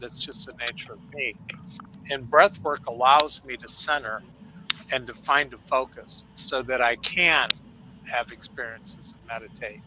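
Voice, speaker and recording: A man's fairly high-pitched voice with a bright, sharp tone. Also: ordinary pitch variation, moderate pace, big swings in loudness. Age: 70s. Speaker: show's technical producer and panel regular. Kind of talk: casual panel chat.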